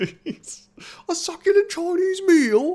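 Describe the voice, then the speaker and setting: The voice is a put-on character voice with a British accent. Its pitch is extremely high. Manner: exaggerated, indignant.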